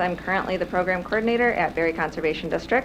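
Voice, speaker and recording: Soft-spoken and at a medium pitch, a woman talks at a very fast pace with ordinary pitch variation, amid noticeable background noise and audible room echo. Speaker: conservation program coordinator. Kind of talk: presentation. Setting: city council meeting room.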